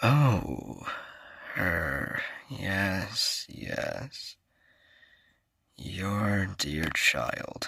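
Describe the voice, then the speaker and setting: A man puts on a character voice. It sits fairly low in pitch. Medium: audio drama. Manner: calm, measured, assuring.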